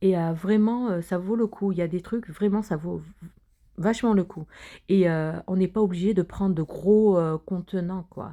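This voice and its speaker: The dark, mellow tone comes through a very clean recording with a silent background, and the intonation stays fairly even. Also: woman, medium pitch for a woman. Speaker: cooking vlogger. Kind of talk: vlog walkthrough. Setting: inside a wholesale store. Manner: hesitant, many fillers.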